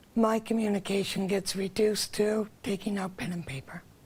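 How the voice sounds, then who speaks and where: A woman speaks fairly slowly, her voice somewhat breathy. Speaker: accessibility committee member. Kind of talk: TV interview.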